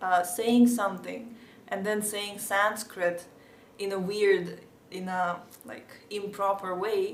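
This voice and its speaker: A woman with a Russian accent talks at a very slow pace and medium pitch, her intonation monotone and flat. Her loudness swings widely, and audible room echo fills the recording. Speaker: podcast host, devotional. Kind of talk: casual Q&A monologue. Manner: hesitant, many fillers.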